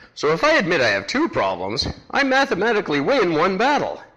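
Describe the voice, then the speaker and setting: A man talks fairly quickly, and there is noticeable noise in the background. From Vancouver, Canada. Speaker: podcast host. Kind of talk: casual talk to camera, comedic monologue.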